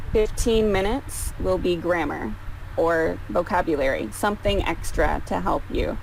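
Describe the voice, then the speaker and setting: A woman's loudness stays very even throughout. Noticeable background noise and audible room echo surround her. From Canada. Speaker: English tutor. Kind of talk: online tutoring session. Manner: slow, simplified speech for a learner.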